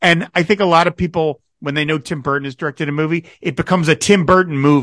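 A man with an American accent rattles along at a very fast pace with hardly any pauses, his fairly high voice showing ordinary pitch variation in a dry, close sound with no echo. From New Jersey. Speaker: podcast host. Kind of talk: interview.

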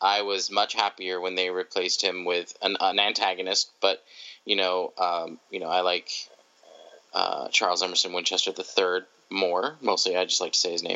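This man's pitch is very deep and low. He talks at a moderate pace in a monotone, flat intonation. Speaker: podcast guest. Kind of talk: casual chat. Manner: soft-spoken.

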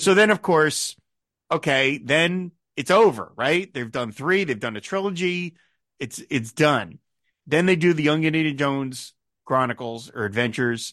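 Against a quiet background, a man with a plain, everyday voice talks at a moderate pace, fairly high in pitch, with lively intonation. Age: 50s. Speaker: film podcast host. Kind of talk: casual chat.

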